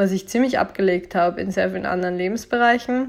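A woman speaks at a medium pitch. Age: 20s. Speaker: podcast host, blogger. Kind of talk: solo monologue podcast.

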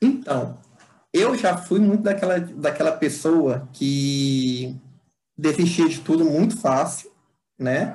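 With audible room echo behind him, a man speaks very slowly with long, frequent pauses. His pitch is fairly high, his intonation lively and his tone dark and mellow. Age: 20s. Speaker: civil engineer and public servant. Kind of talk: interview answers. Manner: halting, many fillers and repetitions.

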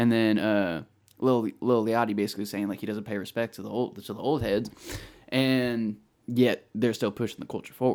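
Using an ordinary speaking voice, a man with an American accent talks at a moderate pace and medium pitch with fairly even intonation and big swings in loudness, on a very clean recording with a silent background. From California, Bay Area. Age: 20s. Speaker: music podcast co-host. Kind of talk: casual chat.

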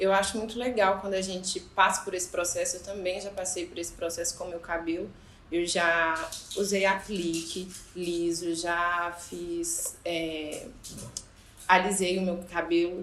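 Amid noticeable background noise and audible room echo, a woman speaks in a monotone with flat intonation. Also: medium pitch for a woman, fairly slow pace. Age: 20s. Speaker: podcast host. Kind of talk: casual chat.

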